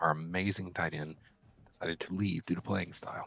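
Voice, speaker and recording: A man's very deep, low voice at a moderate pace, in a dry, close sound with no echo. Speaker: gaming streamer. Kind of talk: live gameplay commentary. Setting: at home at night, others asleep.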